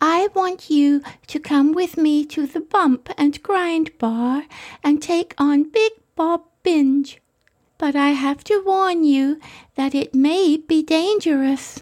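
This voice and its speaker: A squeaky, breathy put-on character voice at a very slow pace. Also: woman, high pitch for a woman, ordinary pitch variation. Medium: audio drama. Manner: sweet, breathy.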